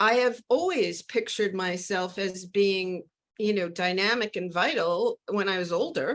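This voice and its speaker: In an unremarkable speaking voice, a woman speaks at a fairly slow pace with a fairly high pitch and ordinary pitch variation. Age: 60s. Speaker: novelist. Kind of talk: interview.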